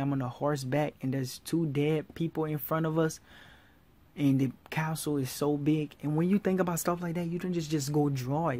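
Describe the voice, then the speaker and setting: A woman's very deep, low voice with fairly even intonation at a moderate pace, in a very clean recording with a silent background. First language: not English, speaks several languages. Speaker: art tutorial YouTuber. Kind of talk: tutorial. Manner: informal, halting, repeats himself.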